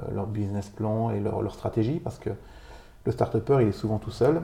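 Fairly low and somewhat breathy, a man's voice has a dark, mellow tone. He keeps a moderate pace. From Vosges, eastern France. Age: 40s. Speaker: business owner. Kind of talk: interview. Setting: host's home.

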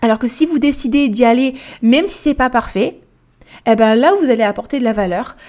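A woman speaks at a high pitch with a dark, mellow tone. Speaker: life and weight coach, podcast host. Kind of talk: solo podcast monologue. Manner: casual, many fillers.

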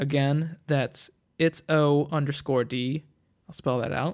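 A man's fairly high voice holds fairly even intonation on a very clean recording with a silent background. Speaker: podcast host. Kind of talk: casual solo monologue. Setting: home recording on tablet. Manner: crude, joking.

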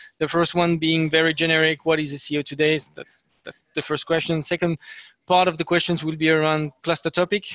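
The sound is dry and close, with no echo. A man speaks at a fairly quick pace in a fairly high pitch. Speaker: webinar host. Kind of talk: webinar moderation. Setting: video call webinar. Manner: hesitant, filler-heavy.

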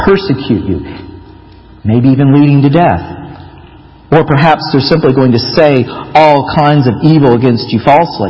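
With an American accent, a man at a fairly high pitch speaks at a moderate pace with ordinary pitch variation, very even loudness, and long, frequent pauses, amid audible room echo and noticeable background noise. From Florida, US. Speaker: pastor. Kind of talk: sermon.

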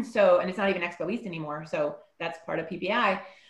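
Noticeable background noise behind a woman speaking at a fairly quick pace. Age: 40s. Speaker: panelist, promotional products rep. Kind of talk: casual chat.

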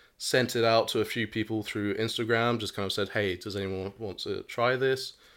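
The recording is very clean, with a silent background. A man talks at a moderate pace and a medium pitch. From moved around as a child, partly Canada. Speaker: hot sauce entrepreneur. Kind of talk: casual interview chat. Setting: home flat recording.

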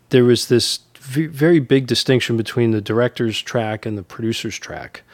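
This man has an American accent and an unremarkable speaking voice. His medium pitch shows ordinary variation. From New York (Bronx, then Dutchess County). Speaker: writer-director and line producer. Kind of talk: casual interview.

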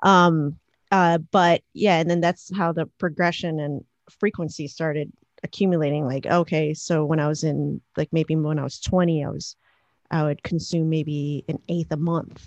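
In an American accent, the speaker uses monotone, flat intonation, the sound dry and close with no echo against a quiet background. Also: woman, very deep, low pitch for a woman, moderate pace. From Chicago. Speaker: electronic musician and producer. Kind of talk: casual chat.

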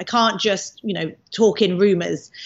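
Her accent is British. This woman's voice sits fairly high. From UK. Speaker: misinformation researcher. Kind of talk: interview.

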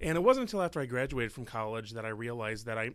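With a Chicago accent, a man speaks very fast at a medium pitch. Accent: Chicago-area American. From US Midwest (Illinois, Palatine). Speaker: French teacher and school board member. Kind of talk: interview conversation. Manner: animated.

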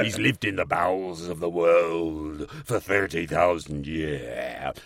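A man growls in a very deep, low put-on character voice at a fairly slow pace. Light background noise can be heard. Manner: sensational, growling.

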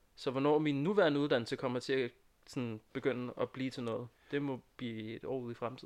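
With an unremarkable speaking voice, a man goes at a fairly quick pace and a medium pitch. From Næstved area, Denmark. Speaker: student. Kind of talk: casual chat. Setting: studio.

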